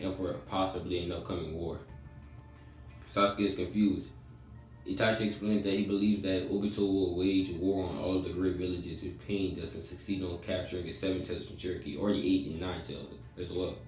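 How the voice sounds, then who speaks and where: With music in the background and audible room echo, a man speaks at a very deep, low pitch and a fairly quick pace with fairly even intonation. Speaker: fan fiction storyteller. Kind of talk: casual story narration. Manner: halting, stuttering.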